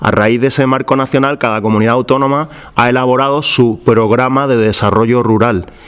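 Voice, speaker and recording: In an Andalusian accent, a man speaks fairly quickly at medium pitch, with fairly even intonation and very even loudness. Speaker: regional government official. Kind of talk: public presentation. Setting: public event with audience. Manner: hesitant, many fillers.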